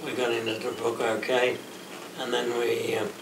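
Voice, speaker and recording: There is noticeable background noise behind this recording. A man speaks at a fairly slow pace. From Australia. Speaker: war veteran. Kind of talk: interview answer. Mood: relaxed reminiscing storytelling. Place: meeting room. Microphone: camera far.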